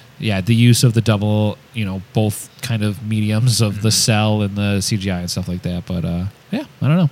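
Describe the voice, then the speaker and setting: With hardly any pauses, a man uses a normal speaking voice at a fairly low pitch and a moderate pace, showing ordinary pitch variation. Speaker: podcast co-host. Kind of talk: casual chat.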